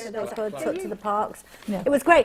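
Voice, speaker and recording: A woman's medium-pitched voice at a very fast pace, with very wide pitch swings and noticeable background noise. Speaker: TV presenter / chat show host. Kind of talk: live news review chat show hosting. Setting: TV studio. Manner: warm, humorous, teasing, conversational.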